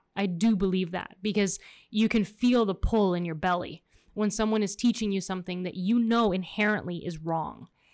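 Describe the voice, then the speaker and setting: A woman talks at a moderate speed on a very clean recording with a silent background. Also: medium pitch for a woman, fairly even intonation. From Miami, Florida. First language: Spanish. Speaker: podcast co-host. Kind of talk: casual chat. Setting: studio.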